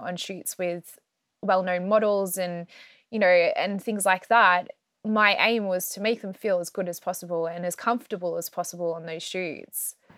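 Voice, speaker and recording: A woman with an Australian accent speaks at a medium pitch in a monotone, flat intonation. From Australia (Melbourne). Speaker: herbalist and astrologer. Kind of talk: interview.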